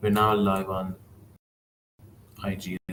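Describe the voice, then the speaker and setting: The speaker has an Iranian accent. The intonation is monotone and flat. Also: man. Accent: Iranian (Persian) accent in English. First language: Persian. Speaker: English teacher trainer. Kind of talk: live-stream tutorial. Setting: live stream on YouTube and Instagram. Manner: hesitant, many fillers.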